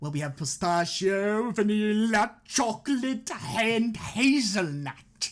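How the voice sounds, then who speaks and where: A booming, put-on character voice with a fairly high pitch moves at a fairly slow pace. The recording is very clean, with a silent background. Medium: game stream. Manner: polite, patient.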